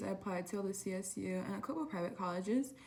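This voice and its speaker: A woman speaks at a medium pitch, with noticeable background noise behind her. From Southern California (Oxnard). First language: Spanish. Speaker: college student vlogger. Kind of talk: casual vlog talk. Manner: casual, hesitant with many fillers.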